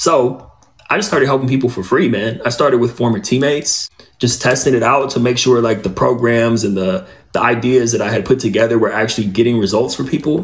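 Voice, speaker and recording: In an ordinary speaking voice, a man talks at a fairly quick pace. His pitch is medium and his pitch variation ordinary. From Southern California (Inland Empire). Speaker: former athlete, author and podcast host. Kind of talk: interview on a podcast.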